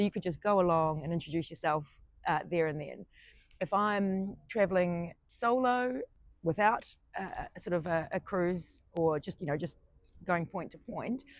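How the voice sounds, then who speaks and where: A woman's fairly low voice in a New Zealand accent, with a moderate pace, ordinary pitch variation and a quiet background. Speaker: solo traveller. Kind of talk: interview. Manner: hesitant, many fillers.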